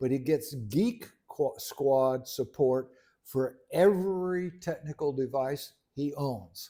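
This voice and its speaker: A man talks at a very slow pace with a fairly high pitch and lively intonation. His tone is dark and mellow. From Caribbean. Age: 70s. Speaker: podcast co-host, retired engineer. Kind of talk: casual chat. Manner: halting.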